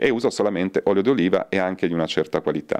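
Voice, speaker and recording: A man with a very deep, low pitch talks in fairly even intonation over a quiet background. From northern Italy, Turin; northern Italy. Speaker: soap maker and botanist; interviewee. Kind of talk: interview. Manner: halting. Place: shop. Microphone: handheld.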